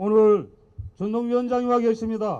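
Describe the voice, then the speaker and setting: A man speaks at an extremely high pitch. His tone is dark and mellow. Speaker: labor union leader. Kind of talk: rally speech. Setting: outdoor candlelight rally. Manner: loud.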